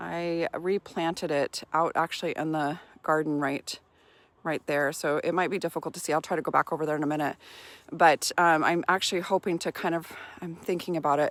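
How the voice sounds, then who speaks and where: The recording is very clean, with a silent background and a dry, close sound with no echo. A woman speaks at a fairly low pitch in a flat monotone. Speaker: gardening vlogger. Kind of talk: casual garden tour vlog. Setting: outdoors in her garden. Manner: fast-talking; filler-heavy, hesitant.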